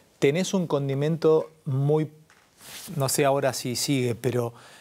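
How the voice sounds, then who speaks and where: A man's fairly high-pitched voice with a dark, mellow tone, ordinary pitch variation and a fairly slow pace. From Argentina. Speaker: interview show host; interview host. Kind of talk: interview conversation. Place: studio. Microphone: lapel.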